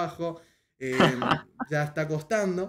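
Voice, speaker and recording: Noticeable background noise runs under this recording. A man talks at a fairly slow pace. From Paraguay. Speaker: podcast host and streamer; podcast host, streamer. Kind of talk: casual interview. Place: home room.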